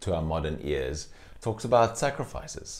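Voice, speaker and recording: Lively intonation marks a man speaking at a fairly slow pace. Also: quiet background. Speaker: pastor. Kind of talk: sermon. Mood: warm, smiling. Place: home room. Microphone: lapel.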